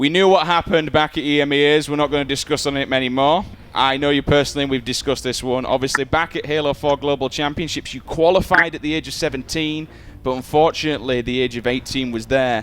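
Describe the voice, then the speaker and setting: Very fast speech comes from a man with a northern English accent. His pitch sits fairly high for a man, with fairly even intonation. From northern England. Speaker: esports presenter. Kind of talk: interview.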